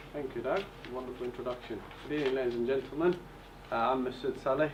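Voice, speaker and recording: A man at a medium pitch talks very quickly with fairly flat intonation while noticeable noise sounds behind him. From Bulgaria, Turkish family. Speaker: property investor. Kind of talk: seminar presentation. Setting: hotel event with audience.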